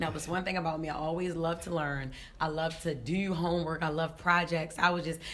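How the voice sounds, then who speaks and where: A woman with a raspy, fairly low voice speaks at a fairly quick pace in an animated tone, with audible room echo. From West Baltimore, Maryland. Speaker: comedian. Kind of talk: casual interview.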